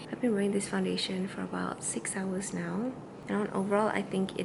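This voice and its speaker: Quiet, fairly quick speech with noticeable background noise and audible room echo. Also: woman. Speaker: beauty vlogger. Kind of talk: casual vlog review. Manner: chatty; speaking quietly.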